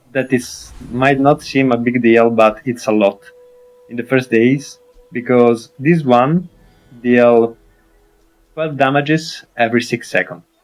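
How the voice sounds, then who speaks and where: A man with an Italian accent speaks at a medium pitch and a fairly slow pace, leaving long, frequent pauses. His intonation is fairly even, with music in the background. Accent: Italian accent on English. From Italy. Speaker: gaming streamer. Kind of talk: game tutorial commentary. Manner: hesitant, many fillers.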